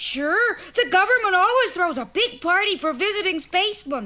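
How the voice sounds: An extremely high, cartoonish character voice comes through. It moves at a moderate pace.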